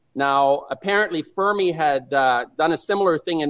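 At a moderate pace, a man with an ordinary speaking voice and a fairly high pitch talks with ordinary pitch variation. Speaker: anti-nuclear activist. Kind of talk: radio interview. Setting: phone call.

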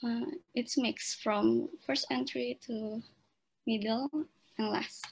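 A woman speaks at a very slow pace. She pauses long and often. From Indonesia. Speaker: event moderator. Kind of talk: formal moderation. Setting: video call. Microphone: video call.

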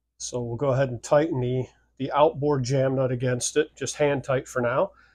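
This is a man with a somewhat breathy voice. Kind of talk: tutorial. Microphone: phone near.

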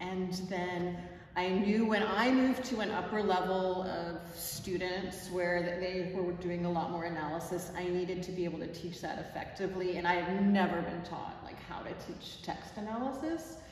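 The speaker keeps a moderate pace with fairly even intonation and hardly any pauses. Light background noise and audible room echo surround the voice. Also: woman. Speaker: teacher describing a workshop. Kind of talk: interview answer. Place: classroom. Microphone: camera far.

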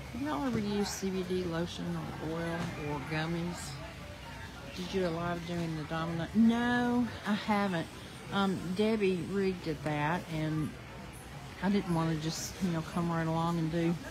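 Clear music plays behind a woman whose fairly low voice, with ordinary pitch variation, moves at a moderate pace with long, frequent pauses. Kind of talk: casual vlog chat. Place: market. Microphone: phone near.

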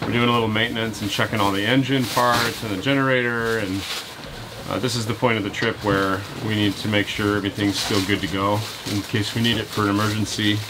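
Noticeable noise sits behind the speech. A man delivers it at a very fast pace. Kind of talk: casual vlog chat. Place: boat. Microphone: phone near.

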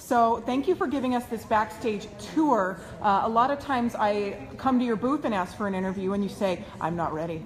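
A woman talks fairly quickly in a fairly high voice with an enthusiastic tone. Light background noise is present. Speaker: online video host. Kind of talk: live video interview. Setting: indoors at event venue. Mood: excited, enthusiastic. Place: meeting room. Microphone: phone near.

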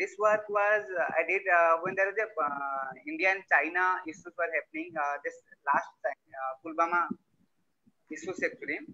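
At a moderate pace, a man speaks in a high pitch with ordinary pitch variation. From Odisha, India (Mayurbhanj district); Odisha. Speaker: visual artist, printmaker. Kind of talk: artist presentation. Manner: halting. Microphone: video call.

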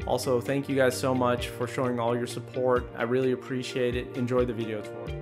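Clear music plays in the background as the monotone, flat delivery moves at a fairly quick pace. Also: man. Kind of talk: promotional video intro. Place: studio. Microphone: studio mic.

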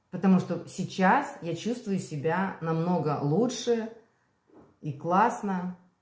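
A woman speaks very slowly at a fairly low pitch, sounding somewhat breathy. There is audible room echo. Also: long, frequent pauses. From Belarus. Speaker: vlogger. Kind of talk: casual vlog monologue. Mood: candid, relaxed. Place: kitchen. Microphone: phone near.

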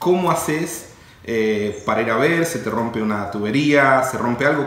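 Audible room echo surrounds a man's voice. His pitch variation is ordinary. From Argentina. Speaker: real estate company CEO; interviewee. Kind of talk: interview. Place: office.

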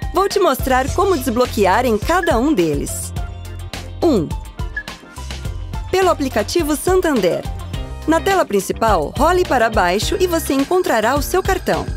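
A woman with a high pitch speaks at a fairly slow pace, with very wide pitch swings and very even loudness. Long, frequent pauses come up often, and music plays in the background. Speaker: voice-over artist. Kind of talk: corporate tutorial narration. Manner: natural, conversational.

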